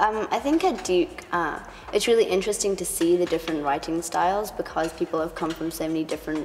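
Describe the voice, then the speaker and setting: At a very fast pace, a woman talks at a fairly low pitch with ordinary pitch variation, and noticeable background noise is present. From Hong Kong. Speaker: international university student. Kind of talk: interview.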